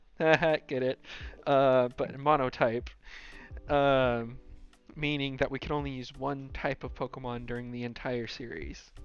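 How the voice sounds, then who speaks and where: Over music in the background, a man speaks at a fairly slow pace with fairly even intonation. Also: medium pitch for a man. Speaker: gaming YouTuber. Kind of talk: casual talk to camera.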